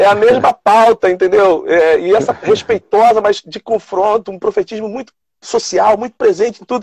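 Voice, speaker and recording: With a dry, close sound and no echo, a man talks at a moderate pace in a high voice, his pitch varying in an ordinary way while his loudness swings widely. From São Gonçalo, Rio de Janeiro state, Brazil. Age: 50s. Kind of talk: casual chat. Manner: halting.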